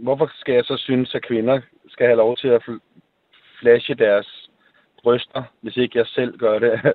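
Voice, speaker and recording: A man speaks at a very slow pace. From Denmark, Copenhagen. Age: 50s. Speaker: listener panel member. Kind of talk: radio call-in debate. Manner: halting.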